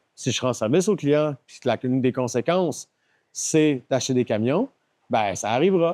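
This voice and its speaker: A man in a Quebec accent speaks at a medium pitch with lively intonation and big swings in loudness, his tone dark and mellow in a dry, close sound with no echo. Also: moderate pace. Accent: Québécois French. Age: 40s. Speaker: company founder. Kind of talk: podcast interview.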